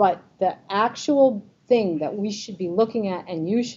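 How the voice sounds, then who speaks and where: In a New York accent, a woman talks at a moderate pace. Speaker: Medicare advisor speaking to a group. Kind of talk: informational presentation with audience quiz. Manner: lively, conversational.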